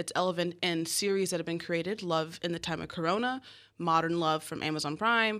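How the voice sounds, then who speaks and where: This woman has a plain, everyday voice with a fairly low pitch and ordinary pitch variation. She talks at a fairly quick pace on a very clean recording with a silent background. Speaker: filmmaker. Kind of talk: interview. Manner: laughs often.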